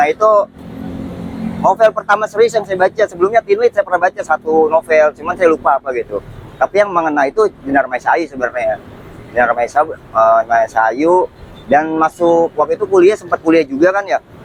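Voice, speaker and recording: At a fairly quick pace, a man talks in a high voice with a dry, close sound and no echo, though noticeable background noise is present. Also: lively intonation. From Jakarta, Betawi. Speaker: writer. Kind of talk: casual interview chat.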